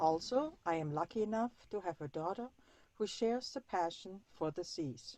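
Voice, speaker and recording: With a German accent, a woman talks at a moderate pace and medium pitch, her voice swinging very widely in pitch. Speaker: sailor and weather router. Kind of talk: presentation.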